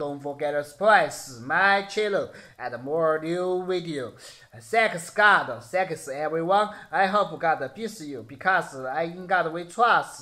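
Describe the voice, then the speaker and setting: A man speaks in a Sichuan accent. The background is quiet. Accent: Sichuan Mandarin-accented English. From Chengdu, Sichuan, China. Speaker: security guard and YouTuber. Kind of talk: casual video blog. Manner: halting, simple English with pauses. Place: home room. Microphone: phone near.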